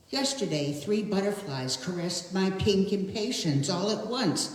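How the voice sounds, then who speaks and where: Lively intonation comes at a fairly slow pace, with audible room echo and noticeable background noise. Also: woman. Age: 80s+. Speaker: poet. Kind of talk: poetry reading. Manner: halting.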